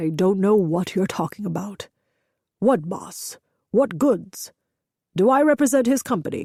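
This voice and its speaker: A woman growling in a put-on character voice at medium pitch and moderate pace, with lively intonation, long, frequent pauses, and a very clean recording with a silent background. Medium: read story. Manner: measured, steady.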